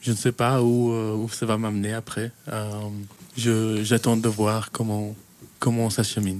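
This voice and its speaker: Pausing long and often, a man speaks at a very slow pace and medium pitch in a monotone, flat intonation. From Kenya (Belgian family). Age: 20s. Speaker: youth worker. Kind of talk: radio interview. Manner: hesitant, many fillers.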